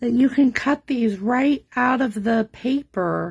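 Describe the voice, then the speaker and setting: A woman talks quietly in a high pitch with ordinary pitch variation. She speaks at a very slow pace. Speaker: card-making demonstrator. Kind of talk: live craft tutorial. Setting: home craft table, livestream. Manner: quiet, subdued.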